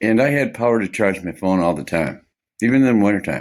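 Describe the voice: The man's tone is slightly mellow, and he speaks at a fairly quick pace.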